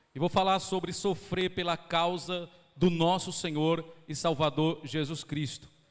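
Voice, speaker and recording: At a fairly slow pace, a man with a fairly high pitch talks with fairly even intonation. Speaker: pastor. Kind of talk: sermon. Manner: slowed down on purpose.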